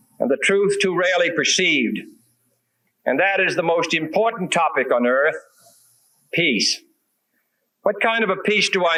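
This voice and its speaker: With an American accent, a man speaks in a high, bright, sharp voice with ordinary pitch variation, very even loudness, and long, frequent pauses. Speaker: president. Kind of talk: political speech.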